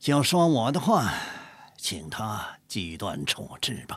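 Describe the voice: Using a put-on character voice, a man speaks at a slow pace with big pitch swings.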